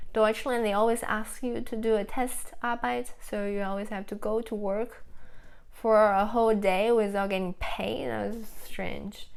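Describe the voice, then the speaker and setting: In a Chinese accent, a woman speaks fairly slowly at a fairly high pitch with fairly even intonation. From China, Nanjing. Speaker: food vlogger. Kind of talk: casual live-stream chat. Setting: live stream. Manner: halting.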